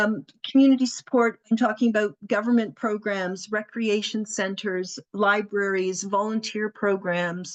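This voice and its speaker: Sounding dry and close with no echo, a woman uses a normal speaking voice at a medium pitch, speaking at a fairly slow pace with fairly even intonation and hardly any pauses. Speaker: community helpline representative. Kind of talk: presentation.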